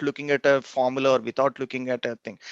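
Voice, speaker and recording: Man of medium pitch with a non-native accent, dry and close with no echo, over a quiet background. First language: not English. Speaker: engineering professor. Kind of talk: interview.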